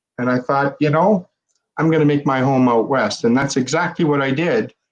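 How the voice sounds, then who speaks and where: A man's fairly high voice with a Canadian accent and fairly even intonation. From Central Canada. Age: 60s. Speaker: fraud investigator. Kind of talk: podcast interview. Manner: halting, many fillers.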